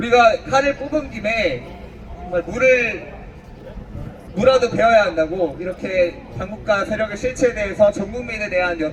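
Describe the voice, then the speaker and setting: With long, frequent pauses, a high-pitched man speaks at a moderate pace and ordinary pitch variation over noticeable background noise. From Honam region, South Korea. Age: 30s. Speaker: political rally speaker. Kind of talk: political rally speech. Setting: outdoors.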